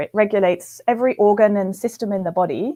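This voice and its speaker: A woman's dark, mellow voice with a slight British accent, fairly quick, dry and close with no echo, over a quiet background. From UK. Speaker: physiology professor. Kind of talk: interview. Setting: live webcast.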